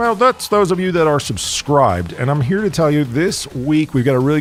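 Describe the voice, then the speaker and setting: An American-accented man speaks at a moderate pace in an animated tone with very wide pitch swings. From United States. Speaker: podcast host. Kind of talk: casual interview.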